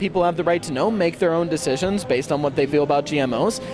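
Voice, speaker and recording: Through noticeable background noise, a man with an American accent talks at a very fast pace in a high pitch. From California. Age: 19. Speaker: peace education organizer, student. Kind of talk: street interview. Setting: outdoors at a street event.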